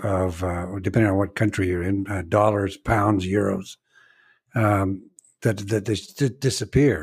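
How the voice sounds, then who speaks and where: In an American accent, a man talks fairly slowly with a fairly low pitch and a somewhat breathy sound. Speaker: fundraising consultant and author. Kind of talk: podcast interview. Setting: remote podcast recording. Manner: halting, many fillers.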